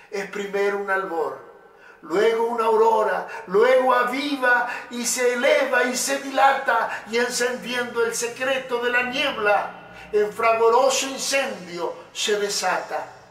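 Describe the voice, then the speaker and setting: In a room with audible echo, a man talks at a very slow pace and an extremely high pitch, with ordinary pitch variation. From Uruguay. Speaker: poet and motivational speaker. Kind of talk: poetry reading. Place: studio.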